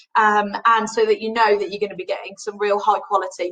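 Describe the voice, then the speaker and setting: A woman talks in a Birmingham accent at a fairly high pitch. Her tone is animated and her pace moderate. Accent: Birmingham (Brummie). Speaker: cruise line sales representative. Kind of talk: trade webinar presentation. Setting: online webinar.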